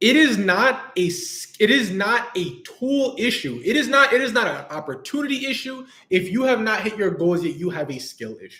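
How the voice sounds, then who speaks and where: In an American accent, a man with a high pitch speaks in an animated, raised and projected voice, his pitch swinging very widely. He keeps a moderate pace with hardly any pauses. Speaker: business coach. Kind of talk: livestream talk. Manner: casual, animated.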